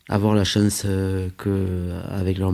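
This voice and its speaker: A man speaks in a very deep, low pitch with a dark, mellow tone. His intonation is flat and monotone. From France, Aveyron. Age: 40s. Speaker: local politician. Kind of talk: interview. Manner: halting, frequent hesitations and repetitions.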